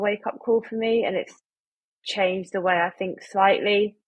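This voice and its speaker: A woman with an English accent talks at a moderate pace. Her pitch is medium and her intonation flat and monotone. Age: 20s. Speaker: medical student. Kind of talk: casual chat.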